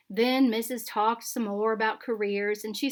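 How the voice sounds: Fairly even in intonation, this is a natural reading voice.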